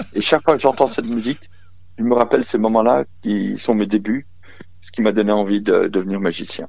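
Speaking at a fairly quick pace, a man with a plain, everyday voice uses a fairly low pitch and ordinary pitch variation. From Lorraine, eastern France (Briey). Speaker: magician. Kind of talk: phone interview. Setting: phone call.

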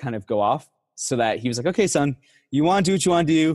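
A man with an American accent talks at a very fast pace with ordinary pitch variation, in a dry, close sound with no echo. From Texas. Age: 20s. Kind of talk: testimony.

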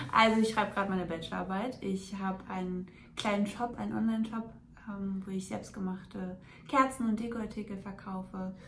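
In a room with audible echo, a woman at a medium pitch speaks at a fairly quick pace with fairly even intonation. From Hesse, near Frankfurt. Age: 20s. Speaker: coaching client and student. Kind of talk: testimony.

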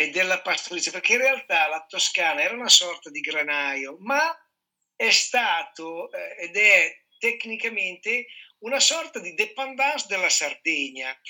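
Pitched high, a man speaks at a fairly slow pace with very wide pitch swings. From Piedmont, Italy (Sardinian parents). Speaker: chef and culinary trainer. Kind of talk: casual chat.

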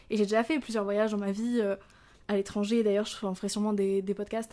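Talking at a very fast pace, a woman with a fairly high pitch has a dark, mellow tone. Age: 20s. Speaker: podcaster, business student. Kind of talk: casual solo monologue. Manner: spontaneous, hesitant.

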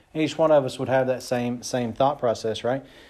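Audible room echo around a man's medium pitch and ordinary pitch variation. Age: 40s. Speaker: pastor. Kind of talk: sermon. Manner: casual, conversational with fillers.

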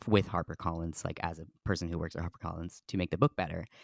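In a very clean recording with a silent background and a dry, close sound with no echo, a man speaks with a very deep, low pitch. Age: 20s. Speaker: podcast host, author. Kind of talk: casual chat.

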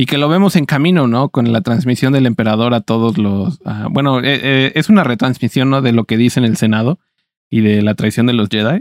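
A man with a normal speaking voice talks at a fairly quick pace in a medium pitch with ordinary pitch variation, recorded very cleanly with a silent background and a dry, close sound with no echo. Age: 20s. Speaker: podcast co-host. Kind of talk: casual chat.

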